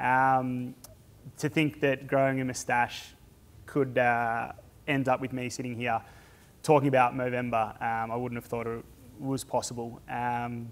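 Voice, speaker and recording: On a very clean recording with a silent background, a man with an Australian accent speaks at a fairly slow pace in a monotone, flat intonation, with long, frequent pauses. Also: medium pitch for a man. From Australia, rural Victoria (Stawell). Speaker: charity fundraiser and speaker. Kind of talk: personal talk to an audience. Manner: halting, many fillers.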